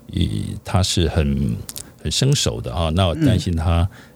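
Noticeable background noise behind a very low, deep male voice. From Taiwan, Keelung. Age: 60s. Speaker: bodybuilder. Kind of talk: casual chat. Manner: many filler sounds, hesitant.

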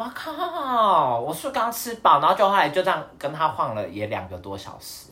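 A man talks at a fairly slow pace. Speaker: podcast co-host. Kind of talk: casual chat.

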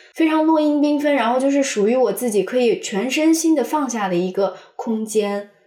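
Her pitch high and her intonation lively, a woman talks at a moderate pace with hardly any pauses and very even loudness. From Xi'an suburbs, China. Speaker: podcast co-host. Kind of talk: casual chat.

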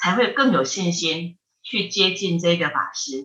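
Lively intonation pairs with a bright, sharp tone in this voice. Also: woman. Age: 50s. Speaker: Buddhist monastic, head of a Buddhist research institute. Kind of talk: casual chat with dharma teaching. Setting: remote call.

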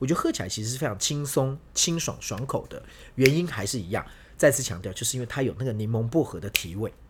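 Very fast, somewhat breathy speech from a man at a medium pitch with lively intonation, on a very clean recording with a silent background. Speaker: Spain travel and food expert. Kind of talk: casual chat.

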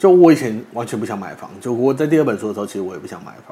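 A man's voice with lively, bouncing intonation. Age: 30s. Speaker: funeral body collector and author. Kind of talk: interview chat.

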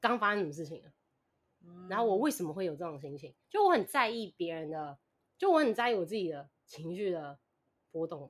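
A woman's fairly low voice with lively intonation, a fairly quick pace, big swings in loudness and long, frequent pauses. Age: 20s. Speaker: podcast listener guest. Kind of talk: casual chat.

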